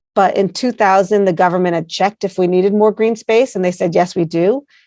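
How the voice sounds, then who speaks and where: In a dry, close recording with no echo and a quiet background, a woman with an American accent speaks in an unremarkable speaking voice, medium in pitch and fairly even in intonation. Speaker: placemaking organization founder. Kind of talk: interview.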